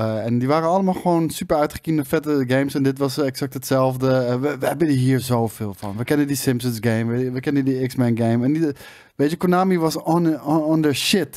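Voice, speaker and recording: Over a quiet background, a man with a dark, mellow tone talks at a fairly quick pace with hardly any pauses and ordinary pitch variation. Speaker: gaming show co-host. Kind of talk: casual chat. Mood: nostalgic, enthusiastic. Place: studio. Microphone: studio mic.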